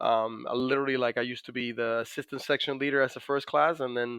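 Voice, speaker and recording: A man with a Dominican accent and fairly even intonation. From Dominican Republic. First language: Spanish. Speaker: navy master chief, PTSD survivor. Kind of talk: podcast interview. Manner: many fillers and hesitations.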